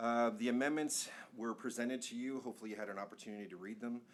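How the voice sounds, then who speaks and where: A man talking at a fairly quick pace. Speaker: planning consultant presenting to city council. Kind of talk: presentation at public meeting. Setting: council chamber meeting. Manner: fast.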